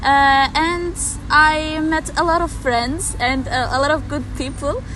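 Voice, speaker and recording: Woman with a high pitch and raised, projected voice, a fairly slow pace and fairly even intonation, with audible room echo and noticeable background noise. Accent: Turkish. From Turkey. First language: Turkish. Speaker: exchange student. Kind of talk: interview. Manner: halting.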